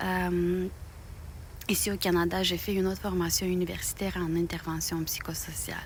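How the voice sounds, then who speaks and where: There is audible room echo as a woman talks in a Romanian accent. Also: moderate pace. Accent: non-native French, Romanian. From Moldova. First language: Romanian (speaking French). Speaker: knitting YouTuber. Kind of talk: casual talk to viewers. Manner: halting, many fillers.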